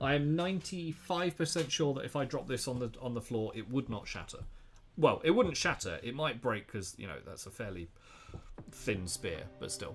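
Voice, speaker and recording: At a moderate pace, a man speaks with a fairly high pitch, very wide pitch swings and vocal fry. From Southwest England. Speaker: miniature painter. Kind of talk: live-stream painting tutorial. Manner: casual, chatty.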